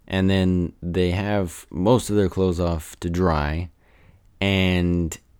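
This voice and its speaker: A man's very deep, low voice at a very slow pace, in a very clean recording with a silent background. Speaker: podcast host. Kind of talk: casual movie review monologue. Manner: halting, many fillers.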